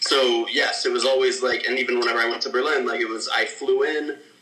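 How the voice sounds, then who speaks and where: This man talks fairly quickly with an American accent. Background noise is noticeable. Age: 20s. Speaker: filmmaker. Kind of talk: casual interview.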